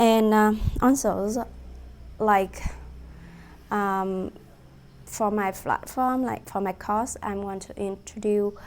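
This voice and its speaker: A woman talks in a Vietnamese accent. Her pitch is medium and her intonation fairly even. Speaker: student presenting a course project. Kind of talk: class presentation. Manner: halting, many fillers.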